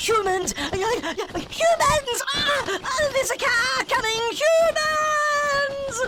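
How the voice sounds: In a put-on character voice, a man speaks very slowly at an extremely high pitch, bright and sharp, with lively intonation and faint background noise.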